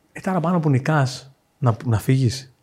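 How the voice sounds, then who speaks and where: A somewhat breathy male voice. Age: 40s. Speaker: fintech founder. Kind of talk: casual chat.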